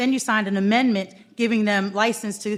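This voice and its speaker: Fairly high in pitch, a woman speaks at a fairly quick pace. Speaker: public commenter, former council member. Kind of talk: public comment at council meeting. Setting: council meeting hall. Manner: fast.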